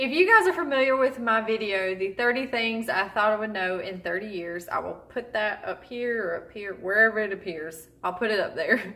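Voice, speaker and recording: A woman with an American accent has an ordinary speaking voice and a fairly high pitch. She keeps a moderate pace with ordinary pitch variation and hardly any pauses. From Southern US. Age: 30s. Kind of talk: casual talk to camera.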